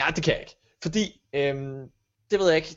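The man's voice sits at a fairly high pitch. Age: 20s. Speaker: podcast co-host, radio presenter. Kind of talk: casual chat. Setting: home kitchen.

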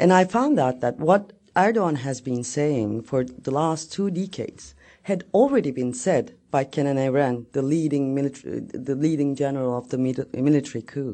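In a Turkish accent, a woman with a very deep, low pitch speaks at a moderate pace with lively intonation. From Turkey. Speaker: journalist and novelist. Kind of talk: talk.

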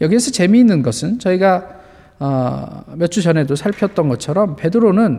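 A man speaks at a moderate pace. His voice is pitched high, with lively intonation. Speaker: pastor. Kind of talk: sermon.

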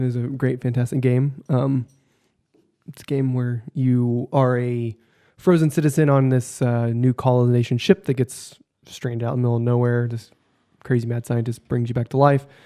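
A man speaks at a moderate pace in a medium-pitched, dark, mellow voice. His intonation is flat and monotone, and the sound is dry and close with no echo. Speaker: podcast co-host. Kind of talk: casual chat. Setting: studio.

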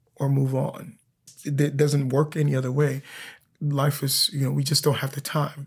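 A man speaks in a fairly high, somewhat breathy voice with flat, monotone intonation. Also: moderate pace. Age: 40s. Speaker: opera singer. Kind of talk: casual chat.

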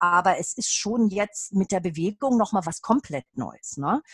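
Somewhat breathy and lively in intonation, a woman speaks at a moderate pace in a dry, close sound with no echo. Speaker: Feldenkrais trainee and adult educator. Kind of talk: casual interview.

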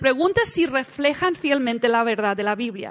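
This woman's voice is pitched high. She talks with lively intonation. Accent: Mexican. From United States. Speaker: women's conference speaker. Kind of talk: sermon.

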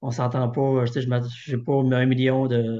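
The background is quiet as a man speaks with a dark, mellow tone. His intonation stays monotone and flat. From Quebec, Thetford. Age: 50s. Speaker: online work-clothing store owner. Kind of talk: interview.

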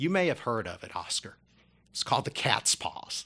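A man whispers with an American accent. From Kentucky, US (arrived from China at age four). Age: 50s. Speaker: dentist and sports media writer, military veteran. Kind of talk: interview conversation. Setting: studio.

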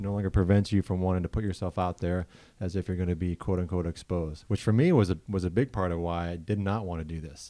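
Recorded very cleanly with a silent background and a dry, close sound free of echo, a man with an American accent speaks very fast in a very deep, low, dark and mellow voice. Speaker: podcast host. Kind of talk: casual chat.

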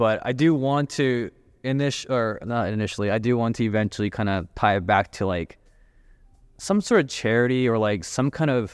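Against a quiet background, a man with an ordinary speaking voice talks at a moderate pace in a medium pitch with ordinary pitch variation. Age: 30s. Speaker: entrepreneur and designer. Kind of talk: casual chat.

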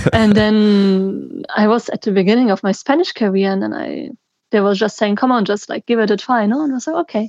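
A woman talks at a fairly quick pace, her voice fairly high in pitch. The sound is dry and close, with no echo. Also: ordinary pitch variation. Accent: German. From German-speaking Belgium. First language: German. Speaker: traveller and NGO worker. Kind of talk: casual interview.

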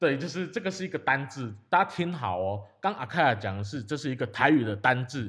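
A man of medium pitch talks at a fairly quick pace with very wide pitch swings and hardly any pauses, on a very clean recording with a silent background. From Taiwan, Yilan. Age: 20s. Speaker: podcast host. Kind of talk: casual chat.

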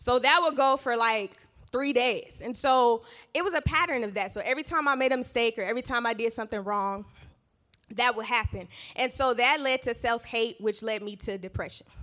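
On a very clean recording with a silent background, a woman speaks in a high pitch with a bright, sharp, animated tone. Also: ordinary pitch variation, fairly quick pace. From US South, Georgia. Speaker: church speaker. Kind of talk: testimony talk.

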